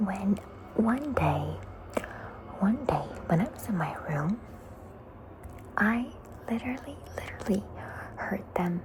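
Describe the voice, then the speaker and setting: At a fairly slow pace, a whispered voice comes through noticeable background noise. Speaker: ASMR creator. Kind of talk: ASMR story time, casual talk to camera. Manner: soft-spoken.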